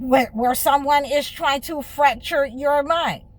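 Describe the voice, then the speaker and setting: With an American accent, a woman speaks very slowly in a high pitch and fairly even intonation. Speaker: spiritual healer and life coach. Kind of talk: monologue to camera.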